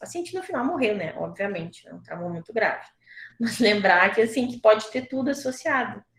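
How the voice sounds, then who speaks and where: Somewhat breathy and fairly high-pitched, a woman talks at a fairly quick pace. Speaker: surgeon lecturer. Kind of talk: online lecture.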